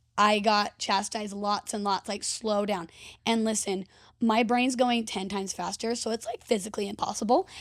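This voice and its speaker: In a very clean recording with a silent background, a woman speaks at a fairly high pitch with fairly even intonation. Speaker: podcast host and event emcee. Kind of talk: casual chat. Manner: fast; loud.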